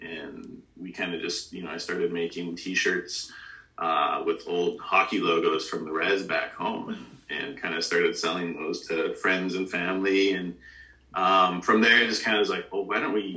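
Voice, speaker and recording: Moderate-speed speech from a man over clearly audible background noise. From Alberta, Canada (Treaty 6 prairies). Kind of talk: casual interview.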